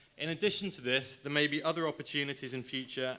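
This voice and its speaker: A man's fairly high pitch with a bright, sharp tone. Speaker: government trade specialist. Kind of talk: conference presentation. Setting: stage with audience. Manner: fast.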